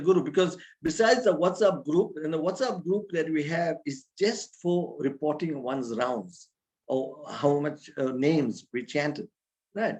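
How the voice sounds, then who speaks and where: A man with a plain, everyday voice, fairly high pitch, ordinary pitch variation and a fairly slow pace. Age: 60s. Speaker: spiritual teacher. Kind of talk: religious talk. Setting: video call.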